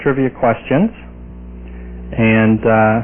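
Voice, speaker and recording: Noticeable background noise behind a man speaking with fairly even intonation. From New York. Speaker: TV host demonstrating technology. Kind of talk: product demonstration. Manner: fast.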